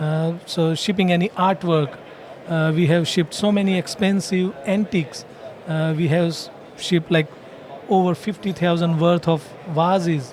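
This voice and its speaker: Moderately paced speech in an Indian accent, fairly even in intonation, with long, frequent pauses and noticeable background noise. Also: man, high pitch for a man. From India, Gujarat (Palanpur). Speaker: franchise owner. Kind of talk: podcast interview. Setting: franchising expo floor.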